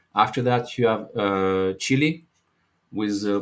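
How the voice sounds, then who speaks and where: A man with a French accent and fairly even intonation against a quiet background. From France. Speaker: market analyst and trading educator. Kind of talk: live market analysis webinar. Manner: halting, with many fillers.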